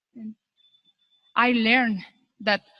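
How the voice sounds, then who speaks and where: A woman with a Spanish accent speaks at a very slow pace. Her pitch is fairly high. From Mexico. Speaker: graduate. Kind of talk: graduation speech.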